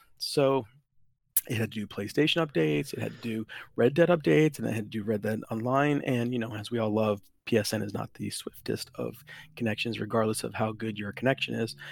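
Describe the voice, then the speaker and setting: A man with a normal speaking voice talks at a fairly quick pace, at medium pitch with ordinary pitch variation. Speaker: guest gamer. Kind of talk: casual chat. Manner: joking, playful.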